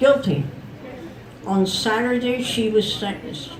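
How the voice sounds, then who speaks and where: A woman with an American accent, fairly high pitch, lively intonation and fairly slow pace, amid noticeable background noise. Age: 80s+. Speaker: festival storyteller. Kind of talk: historical storytelling to a live audience. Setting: outdoors.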